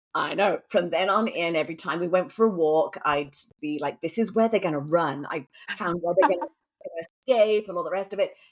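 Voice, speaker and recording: With an English accent, a woman with a fairly low voice speaks at a moderate pace with ordinary pitch variation. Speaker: romantic suspense author. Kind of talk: interview answer.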